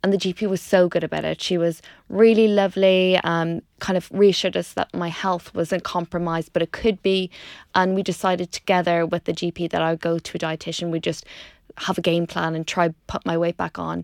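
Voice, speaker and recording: Speaking with an Irish accent at a fairly quick pace, a woman uses fairly low pitch and monotone, flat intonation. The sound is dry and close with no echo, on a very clean recording with a silent background. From Ireland, Dundalk. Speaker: doctor and food blogger. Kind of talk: casual interview chat. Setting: studio.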